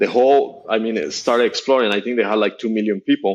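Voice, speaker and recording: At a moderate pace, a man speaks in a fairly low pitch with fairly even intonation. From Colombia, Bogota. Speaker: startup executive. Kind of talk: podcast interview. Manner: halting.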